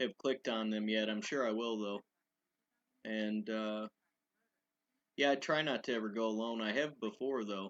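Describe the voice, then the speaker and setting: A man at a medium pitch, moderate pace and fairly even intonation, with long, frequent pauses, a quiet background and a dry, close sound with no echo. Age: 30s. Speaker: urban explorer YouTuber. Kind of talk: live stream Q&A chat. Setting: live stream. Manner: monotone; hesitant, many fillers.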